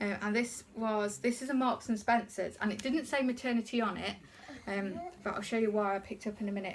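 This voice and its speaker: Someone with an English accent speaks with fairly even intonation over noticeable background noise. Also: woman. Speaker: haul vlogger. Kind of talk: casual haul video talk. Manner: fast; hesitant, many ums.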